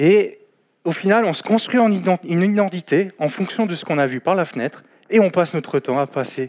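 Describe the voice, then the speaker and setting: The recording is very clean, with a silent background. A man speaks in a high pitch at a moderate pace. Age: 20s. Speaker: lay preacher. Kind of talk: sermon. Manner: halting.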